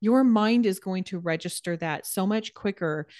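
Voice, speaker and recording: A woman's ordinary speaking voice at a medium pitch and a moderate pace, with ordinary pitch variation and a quiet background. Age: 40s. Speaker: personal trainer and nutrition coach. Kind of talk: casual interview chat.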